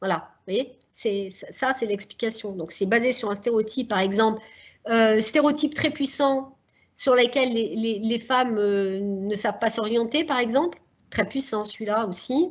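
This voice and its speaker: A woman's fairly high voice, with ordinary pitch variation, moves at a fairly slow pace. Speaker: social psychologist, seminar speaker. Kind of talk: lecture.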